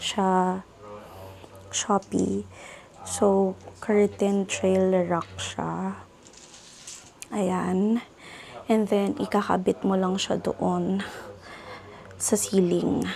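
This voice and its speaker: A woman speaks at a very slow pace with long, frequent pauses. Noticeable background noise can be heard. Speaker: lifestyle vlogger. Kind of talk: casual vlog narration.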